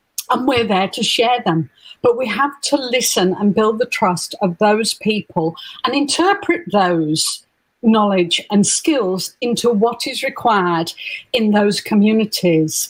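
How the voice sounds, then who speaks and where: At a fairly slow pace, a woman speaks in a fairly high, somewhat breathy voice with lively intonation. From northern England. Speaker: nurse and health informatics academic. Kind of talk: conference interview talk.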